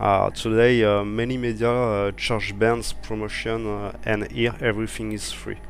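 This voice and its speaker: At a fairly slow pace, a man speaks with a French accent amid audible room echo. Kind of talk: interview. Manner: halting, many fillers.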